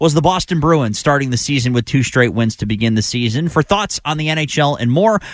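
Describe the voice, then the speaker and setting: Recorded very cleanly against a silent background, the dry, close sound with no echo carries a man's ordinary speaking voice at a medium pitch with ordinary pitch variation. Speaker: radio sports host and anchor. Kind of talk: radio show open and guest welcomes. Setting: radio studio.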